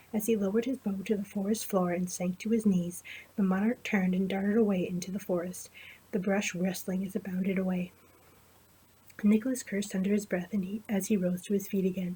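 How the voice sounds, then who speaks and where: Quiet and fairly quick, a woman speaks with monotone, flat intonation. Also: medium pitch for a woman. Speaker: amateur storyteller. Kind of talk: fantasy story reading.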